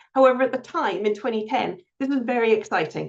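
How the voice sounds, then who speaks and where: The speaker has a Scottish accent. The pitch varies in an ordinary way. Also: woman. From Scotland (Glasgow and Edinburgh). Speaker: reading charity CEO. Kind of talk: webinar presentation. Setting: online webinar.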